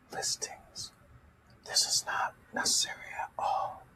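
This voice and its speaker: Someone whispers fairly slowly amid noticeable background noise. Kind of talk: ASMR coding tutorial, reading documentation aloud. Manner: soft-spoken, whispering.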